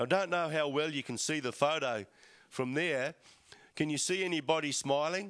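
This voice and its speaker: Over a quiet background, a man speaks with an Australian accent. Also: fairly high pitch for a man, ordinary pitch variation, moderate pace. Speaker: church speaker. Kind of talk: talk to congregation. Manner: hesitant, many fillers.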